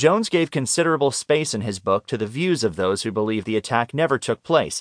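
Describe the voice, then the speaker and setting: Against a quiet background, a man with a plain, everyday voice talks at a fairly quick pace in a dry, close sound with no echo. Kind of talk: audiobook narration of nonfiction magazine article. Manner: even, measured, formal; clear, steady documentary-style delivery.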